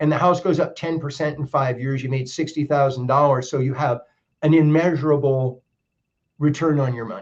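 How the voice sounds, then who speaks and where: A man with an American accent, fairly high pitch, somewhat breathy, at a fairly quick pace with fairly even intonation. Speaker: mortgage lender. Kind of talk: podcast interview. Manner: halting.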